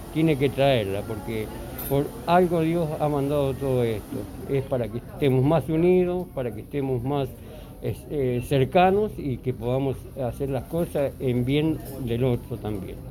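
A man's medium-pitched voice with ordinary pitch variation, a fairly slow pace and audible room echo. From Argentina. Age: 60s. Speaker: interviewee sharing views. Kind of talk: interview testimony. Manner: halting.

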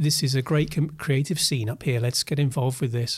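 A man with a southern English accent, fairly high in pitch and somewhat breathy, at a fairly quick pace with fairly even intonation, on a very clean recording with a silent background. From Essex and Oxfordshire, England. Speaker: creative director and agency founder. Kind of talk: casual interview.

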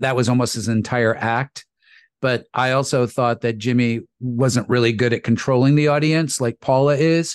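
A man with an ordinary speaking voice talks at a medium pitch and a moderate pace, his loudness very even. The sound is dry and close with no echo, over a quiet background. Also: fairly even intonation. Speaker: voice actor.

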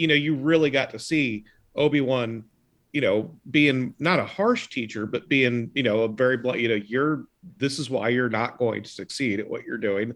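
Against a quiet background, a man of medium pitch speaks at a moderate pace with ordinary pitch variation. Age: 40s. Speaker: podcast guest. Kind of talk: casual chat.

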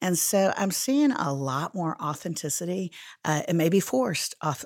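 This is a woman's voice. The recording is very clean, with a silent background. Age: 50s. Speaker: Bible teacher and speaker. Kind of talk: interview conversation.

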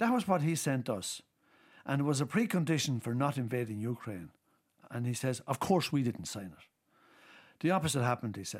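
In an Irish accent, a man speaks at medium pitch and a fairly quick pace, with lively intonation and big swings in loudness. Long pauses come often, and the recording is very clean with a silent background. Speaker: politician. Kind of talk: casual chat.

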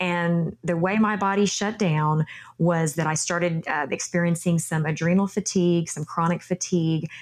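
A woman's fairly low voice in a Texan accent, monotone and flat in intonation. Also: moderate pace. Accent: Texan accent, noticeable. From Texas. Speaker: yoga instructor and former beauty queen. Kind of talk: interview conversation.

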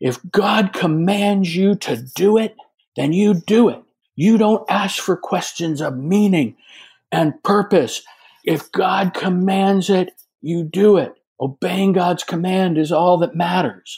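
A man's put-on character voice, shouting and growling at a high pitch, fairly slow, with ordinary pitch variation. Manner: growling, yelling at the top of his lungs.

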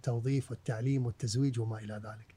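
This man has a dark, mellow tone that is somewhat breathy. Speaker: historian and author. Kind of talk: casual interview. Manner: mixes English words into speech.

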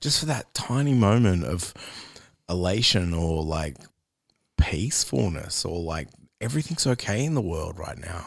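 With an Australian accent, a man speaks at a moderate pace in a very deep, low pitch, his pitch swinging very widely between long, frequent pauses, on a very clean recording with a silent background. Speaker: podcast host. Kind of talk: casual interview.

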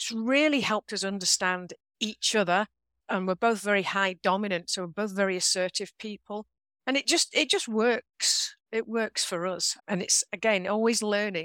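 A woman's medium-pitched voice in an English accent at a moderate pace with ordinary pitch variation, on a very clean recording with a silent background. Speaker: author and leadership trainer. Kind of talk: interview conversation.

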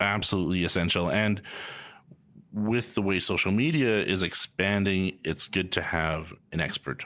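A man with a western Canadian accent speaks at a very deep, low pitch in a bright, sharp tone, at a moderate pace with ordinary pitch variation. His loudness stays very even, and the recording is very clean with a silent background. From Canada, Calgary. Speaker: podcast host, real estate agent. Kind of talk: scripted intro/outro; casual interview while playing a board game.

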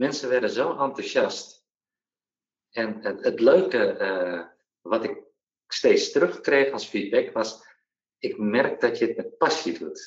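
Very slow speech from a man, with long, frequent pauses. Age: 40s. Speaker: entrepreneur, former benefits agency employee. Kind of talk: interview. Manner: halting, many hesitations.

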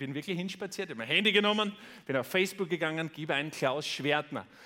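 Bright and sharp in tone, a man with a fairly high pitch speaks in an animated way with lively intonation. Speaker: podcast host and motivational speaker. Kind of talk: keynote speech. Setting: stage with audience.

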